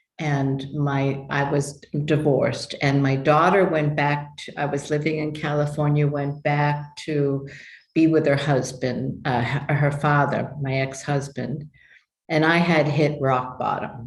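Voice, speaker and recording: Flat and monotone, a woman with an American accent speaks at a very deep, low pitch in a space with audible room echo. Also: fairly slow pace. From New York. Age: 70s. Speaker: human design teacher. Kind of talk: interview testimony. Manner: halting.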